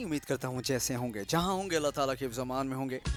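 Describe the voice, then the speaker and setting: Music plays in the background behind an upbeat tone. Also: man. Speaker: radio jockey. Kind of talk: radio show hosting. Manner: upbeat, welcoming.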